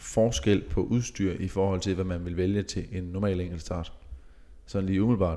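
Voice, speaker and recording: A man's fairly low voice holds fairly even intonation. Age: 20s. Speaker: professional racing cyclist. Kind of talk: casual chat.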